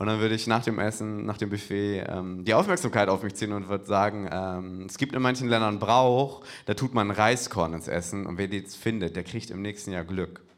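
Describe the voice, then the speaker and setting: A normal speaking voice from a man, fairly low in pitch, with fairly even intonation and a moderate pace, on a very clean recording with a silent background. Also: hardly any pauses. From Hamburg. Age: 20s. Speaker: comedian. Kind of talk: stand-up. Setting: stage with audience.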